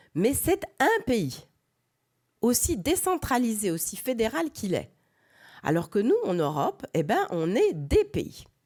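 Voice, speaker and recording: On a very clean recording with a silent background, a woman with a fairly high, fry-tinged voice speaks very slowly, her pitch swinging very widely between long, frequent pauses. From France. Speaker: professor. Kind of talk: lecture. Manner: halting, many hesitations.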